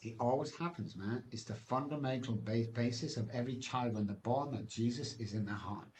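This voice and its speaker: Somewhat breathy, a man in an English accent talks at a fairly quick pace. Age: 60s. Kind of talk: testimony.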